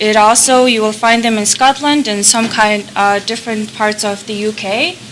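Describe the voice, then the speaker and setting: Over noticeable background noise, a woman with a Mongolian accent speaks fairly slowly in a fairly high pitch, her intonation fairly even. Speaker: conference presenter. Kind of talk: conference talk.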